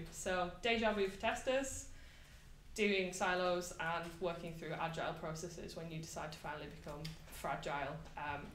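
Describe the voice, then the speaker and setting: Over noticeable background noise and audible room echo, a woman talks with a fairly low pitch and ordinary pitch variation. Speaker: software tester giving a meetup talk. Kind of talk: conference talk. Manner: fast.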